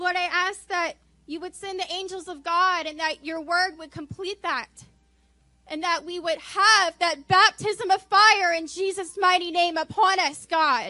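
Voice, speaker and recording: An extremely high-pitched woman's voice comes out bright and sharp, raised and projected. She talks fairly slowly with fairly even intonation. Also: big swings in loudness. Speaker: church member. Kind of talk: spontaneous prayer. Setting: church.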